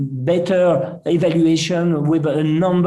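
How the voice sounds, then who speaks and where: Audible room echo surrounds a man's dark, mellow tone as he talks at a very slow pace with fairly even intonation. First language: not English. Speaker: surgeon, presenter. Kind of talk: conference lecture. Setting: web symposium.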